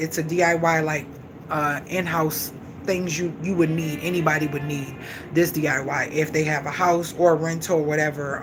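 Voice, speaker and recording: A woman with a very deep, low pitch is heard with audible room echo and noticeable background noise. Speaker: vlogger and live-stream host. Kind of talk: casual live-stream chat. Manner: fast; animated.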